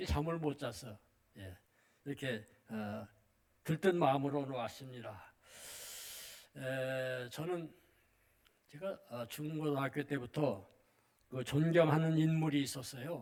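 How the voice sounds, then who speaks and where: A man with a fairly high pitch and ordinary pitch variation talks at a very slow pace, with long, frequent pauses and big swings in loudness. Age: 80s+. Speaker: retired missionary pastor. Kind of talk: sermon. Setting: church. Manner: halting.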